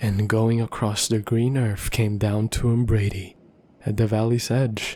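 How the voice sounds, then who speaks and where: Soft-spoken and somewhat breathy, a man talks at a fairly slow pace with a fairly low pitch and monotone, flat intonation. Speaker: ASMR roleplay performer. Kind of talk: bedtime story reading.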